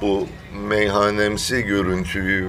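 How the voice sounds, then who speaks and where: A man is heard speaking in a space with audible room echo and noticeable background noise. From Thrace, Turkey. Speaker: podcast co-host. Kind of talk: casual chat.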